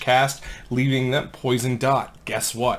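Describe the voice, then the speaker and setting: At a fairly slow pace, a man speaks quietly with a fairly high pitch. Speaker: gaming content creator. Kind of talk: gameplay tutorial. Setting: home recording late at night. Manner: hushed to avoid waking kids.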